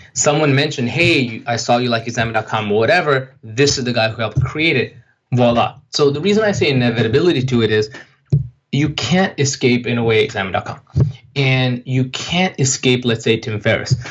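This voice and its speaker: Somewhat breathy, a man speaks at a fairly quick pace and medium pitch with ordinary pitch variation. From Pakistan, Saudi Arabia and Japan; Kashmiri heritage. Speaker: entrepreneur. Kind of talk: interview.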